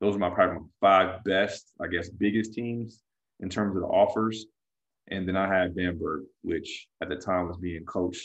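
A man with an American accent talks in a very deep, low voice with flat, monotone intonation. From California. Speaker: former pro basketball player and coach. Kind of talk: casual interview.

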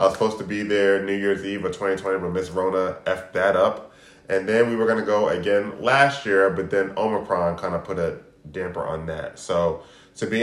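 A man with a plain, everyday voice, fairly low in pitch, at a fairly quick pace with fairly even intonation. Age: 40s. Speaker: podcast co-host. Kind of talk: casual chat.

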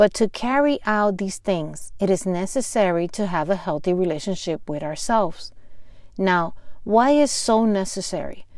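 Over a silent background in a very clean recording, a woman with a Spanish accent speaks at medium pitch and a fairly slow pace, her intonation lively. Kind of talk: devotional teaching.

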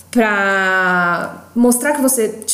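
Audible room echo surrounds the voice. Pitch varies in an ordinary way. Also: woman. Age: 20s. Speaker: podcast co-host, content producer. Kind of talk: casual chat.

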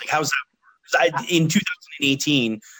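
This man has a Canadian accent. His tone is bright and sharp. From Canada, London, Ontario. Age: 30s. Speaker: podcast host. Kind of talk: casual chat. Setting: long-distance online call.

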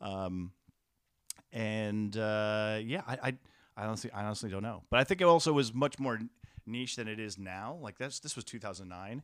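A man with an American accent and an ordinary speaking voice, fairly low in pitch with ordinary pitch variation, at a moderate pace with big swings in loudness, on a very clean recording with a silent background. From New York, Westchester County. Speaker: comedy show producer. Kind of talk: casual interview chat.

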